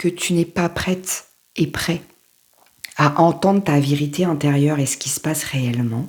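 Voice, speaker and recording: A woman speaks with a very deep, low voice and lively intonation. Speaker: life coach. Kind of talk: motivational talk to camera. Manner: casual, halting.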